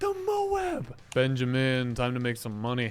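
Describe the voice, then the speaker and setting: Male speech at a medium pitch, music playing underneath. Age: 20s. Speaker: gaming youtuber. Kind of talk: gameplay commentary. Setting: at his desk. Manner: casual, animated.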